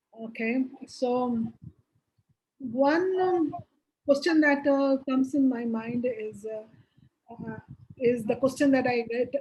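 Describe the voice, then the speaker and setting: Someone speaks at a fairly slow pace in a Bengali accent, with ordinary pitch variation. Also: woman. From India, Bihar. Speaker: business executive, board advisor. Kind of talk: interview. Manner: hesitant, many fillers.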